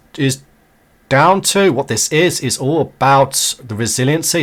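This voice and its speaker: An ordinary speaking voice from a man, fairly high in pitch, at a moderate pace with ordinary pitch variation. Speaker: networking tutorial creator. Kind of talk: tutorial.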